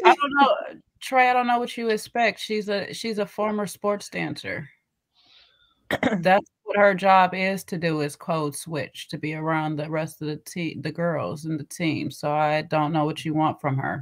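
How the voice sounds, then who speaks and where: An ordinary speaking voice at a fairly slow pace. The intonation is lively. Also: woman, fairly low pitch for a woman. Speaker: livestream show host.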